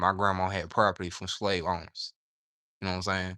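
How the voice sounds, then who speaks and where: In a Southern US accent, a man speaks fairly quickly with a bright, sharp tone and a very deep, low pitch. The recording is very clean, with a silent background. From US South. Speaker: livestreamer and aspiring novelist. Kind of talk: casual livestream chat. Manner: animated.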